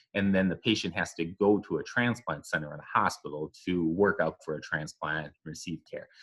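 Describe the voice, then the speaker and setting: A man talks at a fairly quick pace with a Minnesotan accent. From southern Minnesota, US. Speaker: epidemiologist. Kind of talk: podcast interview.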